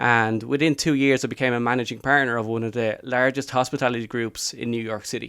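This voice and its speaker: In a Dublin accent, the voice comes out bright and sharp in a flat monotone, recorded very cleanly with a silent background. The pace is very fast with hardly any pauses. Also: man, medium pitch for a man. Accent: Dublin Irish. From Ireland, Dublin. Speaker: life coach. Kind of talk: podcast interview. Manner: casual conversational.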